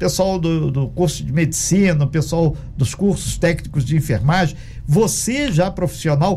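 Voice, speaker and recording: A man speaks with lively intonation at a moderate pace while noticeable background noise is heard. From Minas Gerais, Brazil. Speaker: radio host. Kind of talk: radio interview.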